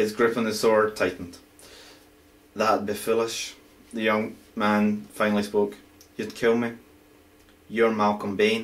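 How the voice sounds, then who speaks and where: A man with a Scottish accent speaks fairly low, in a monotone, flat intonation. His pace is fairly slow, with long, frequent pauses. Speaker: amateur writer. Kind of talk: reading aloud own fantasy story. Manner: halting, stumbling reading.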